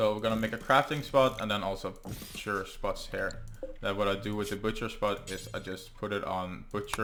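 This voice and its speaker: A man's fairly low voice with a bright, sharp tone, a Norwegian accent and a moderate pace. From Norway. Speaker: gaming YouTuber. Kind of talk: let's play gameplay commentary. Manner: halting, many fillers.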